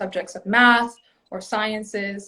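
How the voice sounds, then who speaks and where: A bright, sharp voice with a Spanish accent moves at a moderate pace. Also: woman. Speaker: former childcare center family member. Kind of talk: panel discussion.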